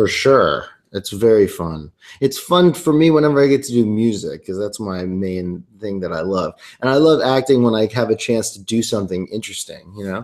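A man with a medium pitch talks at a moderate pace with lively intonation and big swings in loudness against a quiet background. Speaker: singer-songwriter and actor. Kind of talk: casual interview chat. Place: home room. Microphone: webcam.

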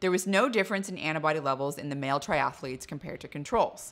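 A woman with a very deep, low pitch. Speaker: presenter. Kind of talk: science explainer. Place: kitchen. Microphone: studio mic.

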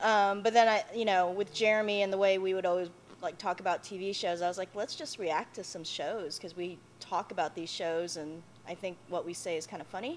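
The intonation stays fairly even. Light background noise sits under the voice. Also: woman, fairly quick pace. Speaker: YouTuber answering questions. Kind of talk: casual vlog chat. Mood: relaxed, laughing. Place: hall.

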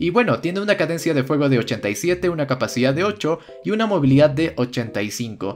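Music plays in the background while a man talks at a moderate pace. His fairly high voice has an animated tone and very wide pitch swings. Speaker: gaming YouTuber. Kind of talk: game review tutorial.

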